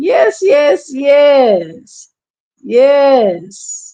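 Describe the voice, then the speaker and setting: Here is a woman with an American accent and a high-pitched voice. Her tone is animated, with very wide swings in pitch. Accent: Southern accent, comes and goes. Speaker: church commentary livestreamer. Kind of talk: casual livestream chat. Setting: live stream. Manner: animated, repetitive.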